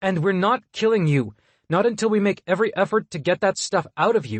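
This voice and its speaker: A man speaks at a fairly quick pace in a put-on character voice. His pitch is high, and he growls. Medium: read story. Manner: composed, authoritative.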